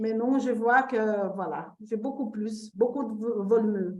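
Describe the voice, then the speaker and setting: A woman with a non-native accent speaks very slowly. Her pitch is fairly high, and room echo is audible. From Brazil. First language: Portuguese (speaking French). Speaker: testimonial participant. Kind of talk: testimony. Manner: halting.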